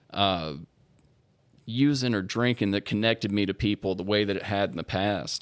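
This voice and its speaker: A man with a Louisiana accent speaks at a moderate pace with fairly even intonation and a fairly low pitch. The recording is very clean, with a silent background. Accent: US Southern (Louisiana). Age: 20s. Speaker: recovering alcoholic sharing his story. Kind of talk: testimony.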